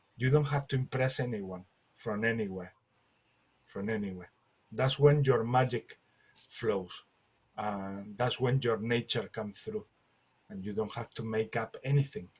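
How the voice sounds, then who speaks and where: A man with a non-native accent speaks fairly slowly and somewhat breathily at medium pitch, with ordinary pitch variation and long, frequent pauses. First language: not English. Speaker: light language group facilitator. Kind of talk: group spiritual discussion. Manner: halting.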